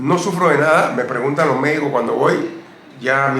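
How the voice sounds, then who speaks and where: Over noticeable background noise and audible room echo, a man speaks with a fairly high pitch. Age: 70s. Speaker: retired basketball player. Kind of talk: interview.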